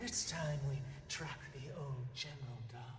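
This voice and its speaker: Using a put-on character voice at a low-to-middle pitch, the speaker goes at a fairly slow pace amid clear echo and clear background noise. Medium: video game. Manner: measured, commanding.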